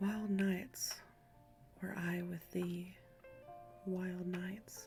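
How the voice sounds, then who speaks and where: Music plays in the background as a soft-spoken voice talks at a very slow pace. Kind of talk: ASMR poetry reading. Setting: lo-fi background music.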